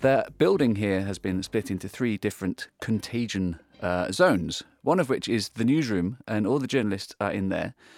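Over music in the background, a man talks at a moderate pace with a fairly low pitch and lively intonation. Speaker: radio host. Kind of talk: formal newsreading; solo news round-up. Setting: studio. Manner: formal, measured, newsreader delivery; conversational, with filler words.

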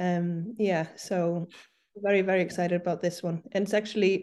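A woman's medium-pitched voice, dark and mellow in tone, flat and monotone, at a moderate pace over a quiet background. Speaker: arts producer. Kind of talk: interview. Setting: video call. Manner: hesitant, many fillers.

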